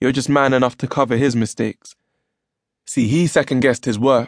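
Against a quiet background, a man with a London accent speaks at a moderate pace and medium pitch in an animated tone, the sound dry and close with no echo. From London, England. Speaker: poet and audiobook narrator. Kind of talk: spoken word poetry performance. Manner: rhythmic, rhyme-driven delivery; animated, emotive, storytelling tone.

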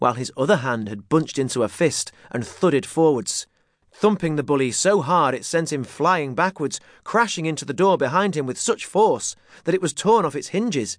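A man with a normal speaking voice and a fairly high pitch talks at a moderate pace with lively intonation over a quiet background. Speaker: audiobook narrator. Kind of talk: scripted narration of a children's story, dramatic with character voices. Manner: swapping into gruff bully and shouting shopkeeper voices.

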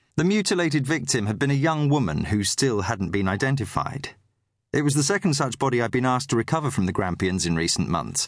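A man's medium-pitched voice with vocal fry, very wide pitch swings and a very fast pace. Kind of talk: audiobook narration, literary crime fiction read aloud. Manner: measured, steady storytelling pace with a grave, atmospheric tone.

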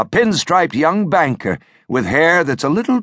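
Vocal fry marks a man's voice as his pitch swings very widely, recorded dry and close with no echo over a quiet background. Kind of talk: dramatic audiobook narration, first-person thriller reading. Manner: intense, hushed, brooding; measured, suspenseful pacing.

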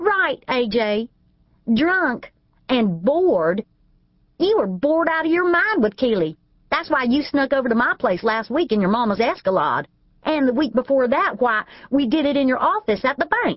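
A female-sounding, put-on character voice with a high pitch moves at a moderate pace. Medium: read story. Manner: spiteful, taunting.

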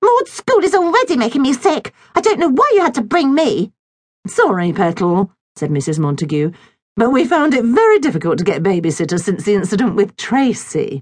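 Her tone animated and her pitch swinging very widely, a woman speaks at a fairly quick pace with vocal fry. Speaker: audiobook narrator. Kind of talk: dramatic audiobook narration with character voices. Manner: animated, expressive storyteller shifting between voices; playful, whimsical children's-story delivery.

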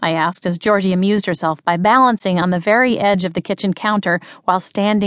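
This is reading aloud in a natural voice. Its intonation is fairly even.

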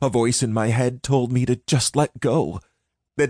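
Someone is plainly reading aloud. The intonation stays fairly even, and the background is quiet.

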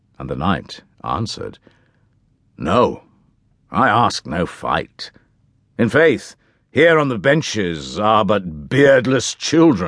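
Against a quiet background, the speaker uses vocal fry and very wide pitch swings, moving at a very slow pace with long, frequent pauses. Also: man, fairly low pitch for a man. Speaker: audiobook narrator. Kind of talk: scripted narration, audiobook reading of a medieval tale. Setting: studio. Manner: dramatic, formal, measured storytelling voice; shifts into character voices for the knight and king.

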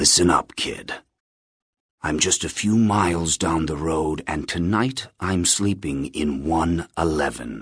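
In a very clean recording with a silent background, a man puts on a character voice pitched extremely low, speaking slowly with ordinary pitch variation and a slightly husky edge.

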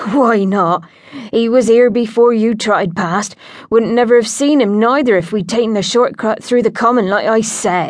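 Natural voice, reading.

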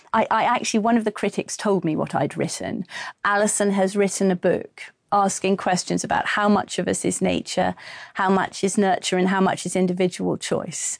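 Against a quiet background, a woman with an English accent speaks at a moderate pace in a medium pitch, with vocal fry, monotone, flat intonation and very even loudness. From England. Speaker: actress and audiobook narrator. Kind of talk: interview.

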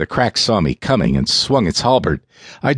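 Aloud reading in a natural voice

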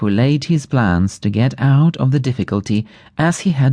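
The intonation is lively as someone reads in a natural reading voice.

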